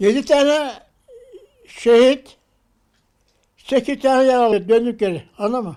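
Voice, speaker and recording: Very slowly, a man speaks at an extremely high pitch in a dark, mellow tone with ordinary pitch variation. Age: 80s+. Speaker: Korean War veteran. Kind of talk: interview answer, war memories.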